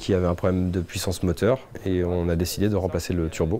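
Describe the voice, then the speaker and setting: The man's voice sits at a very deep, low pitch. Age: 30s. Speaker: workshop foreman, heavy machinery mechanic. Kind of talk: corporate interview testimony. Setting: workshop. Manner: hesitant with frequent fillers.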